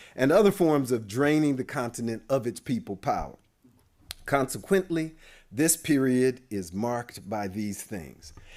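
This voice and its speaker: In a very clean recording with a silent background, a man talks at medium pitch. His pitch swings very widely at a fairly slow pace. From US West Coast (Oakland, California). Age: 60s. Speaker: demographer. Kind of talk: lecture. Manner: casual, conversational.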